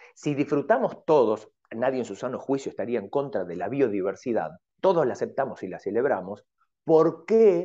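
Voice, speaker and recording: Speaking at a moderate pace, a man with a fairly high pitch and a dark, mellow tone shows vocal fry and big swings in loudness. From Argentina. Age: 40s. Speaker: Buddhist monk and Zen teacher. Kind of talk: radio interview.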